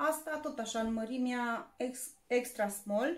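In a room with audible echo, a woman speaks fairly slowly at a high pitch with ordinary pitch variation. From Romania. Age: 30s. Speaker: YouTuber; haul vlogger. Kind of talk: shopping haul video; casual vlog chat. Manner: casual, with fillers. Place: home room. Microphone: phone near.

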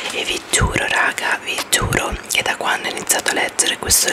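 At a moderate pace, the woman is whispering. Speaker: ASMR creator. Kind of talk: book review to camera, ASMR style. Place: home room. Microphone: studio mic.

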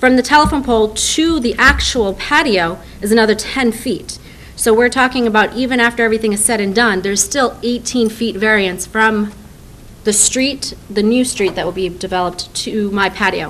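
A woman speaks with a fairly high pitch and ordinary pitch variation, at a moderate pace. It is a plain, everyday voice, with light background noise. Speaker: restaurant owner. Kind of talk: license application hearing. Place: meeting room. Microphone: podium.

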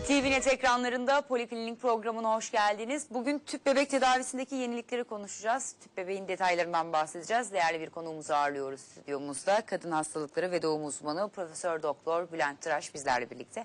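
A woman talks at a very fast pace with hardly any pauses. Her pitch swings very widely. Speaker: TV health show host. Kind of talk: live TV talk show. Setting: studio. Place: studio. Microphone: lapel.

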